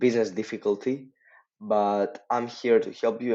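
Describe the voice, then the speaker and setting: This man speaks with a non-native accent. His intonation stays fairly even. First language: not English. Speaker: social media marketing agency owner. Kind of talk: casual tutorial talk to camera. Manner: hesitant, lots of filler words.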